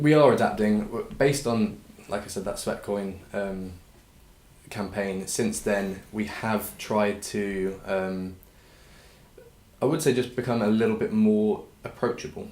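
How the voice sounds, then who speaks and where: In audible room echo, a man with an English accent talks at a fairly slow pace with long, frequent pauses, using a fairly low pitch and ordinary pitch variation. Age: 20s. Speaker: clothing brand founder. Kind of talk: interview.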